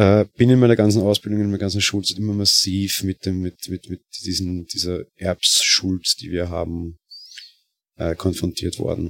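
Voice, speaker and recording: In a Viennese accent, a man talks at a moderate pace with fairly even intonation and a very deep, low pitch. The sound is dry and close, with no echo. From Austria, Vienna. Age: 20s. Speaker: podcaster. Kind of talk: casual monologue. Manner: hesitant, many fillers.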